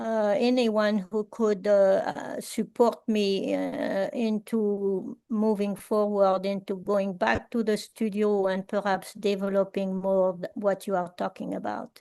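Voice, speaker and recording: A woman with a French accent, medium-pitched and dark, mellow in tone, speaking very slowly with fairly even intonation and hardly any pauses. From France, rural village. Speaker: artist and workshop facilitator. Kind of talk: Q&A after a talk. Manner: halting, many fillers.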